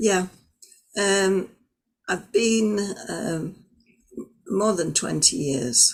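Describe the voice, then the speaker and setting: Very slow delivery with long, frequent pauses and lively intonation. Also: woman, medium pitch for a woman. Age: 70s. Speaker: ashram community member. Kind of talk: casual interview.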